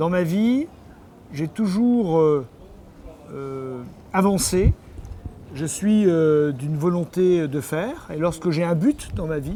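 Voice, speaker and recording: Intonation stays lively as a man talks in a high voice. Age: 60s. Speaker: mayor and politician. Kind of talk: interview answering a child. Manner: hesitant, many fillers.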